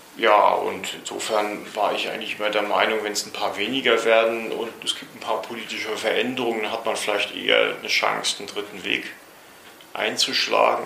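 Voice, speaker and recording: Noticeable background noise mixes with audible room echo in this recording. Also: man. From East Germany, Rostock. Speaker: former construction worker. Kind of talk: interview.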